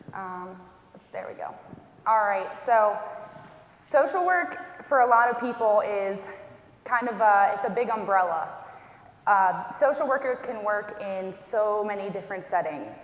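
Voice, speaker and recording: Audible room echo surrounds fairly slow speech with lively intonation and long, frequent pauses. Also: woman, fairly high pitch for a woman. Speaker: hospice social worker. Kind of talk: educational talk. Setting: church event with audience. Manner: soft-spoken.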